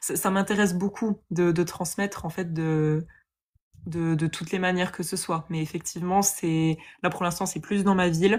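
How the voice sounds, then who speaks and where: The woman's intonation is monotone and flat. Her recording is very clean, with a silent background. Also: fairly low pitch for a woman, moderate pace. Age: 20s. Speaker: yoga teacher. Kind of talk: testimony. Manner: hesitant, many fillers.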